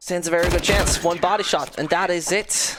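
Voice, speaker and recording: Speaking at a moderate pace, a woman keeps her medium pitch in fairly even intonation. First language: not English. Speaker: esports caster. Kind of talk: live commentary.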